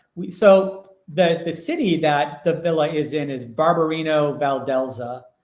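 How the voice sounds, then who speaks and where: With audible room echo, a man talks at a very slow pace, his fairly high pitch showing ordinary variation. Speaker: villa owner. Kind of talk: casual chat. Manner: loud.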